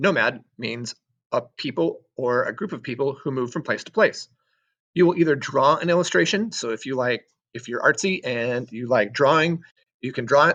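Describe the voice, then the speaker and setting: A man with a plain, everyday voice, fairly high in pitch, lively in intonation, at a moderate pace. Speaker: sixth grade social studies teacher. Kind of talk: recorded assignment walkthrough for students.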